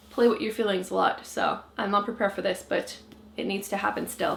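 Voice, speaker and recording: A woman speaks with a French Canadian accent. Her pace is fairly quick. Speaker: book vlogger. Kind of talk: casual talk to camera.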